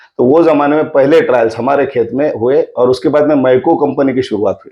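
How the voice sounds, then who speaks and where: A man talks in an unremarkable speaking voice with fairly even intonation. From Sillod area, Maharashtra, India. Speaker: agricultural scientist. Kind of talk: podcast interview.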